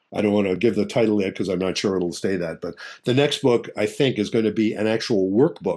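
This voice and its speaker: Against a quiet background, a man with a dark, mellow tone and fairly low pitch talks at a fairly quick pace with ordinary pitch variation. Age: 70s. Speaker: marriage therapist. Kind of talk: interview.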